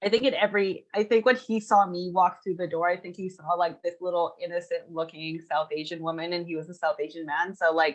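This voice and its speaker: Using an ordinary speaking voice, a woman with a Canadian accent talks at a fairly low pitch with ordinary pitch variation. Her pace is fairly quick, with hardly any pauses. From western Canada (Edmonton, Vancouver, Kelowna). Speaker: freelancer guest. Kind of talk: casual interview chat.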